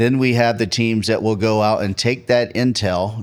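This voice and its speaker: Recorded very cleanly against total silence, a man talks at a moderate pace with fairly even intonation. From North Carolina. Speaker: pastor and search and rescue leader. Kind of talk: podcast interview.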